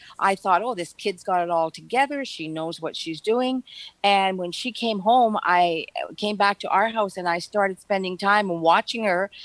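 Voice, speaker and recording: In a northern Ontario accent, a woman speaks at a moderate pace and medium pitch with ordinary pitch variation. The sound is dry and close, with no echo. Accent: Canadian English, northern Ontario. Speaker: retired nurse. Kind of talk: casual chat. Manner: halting.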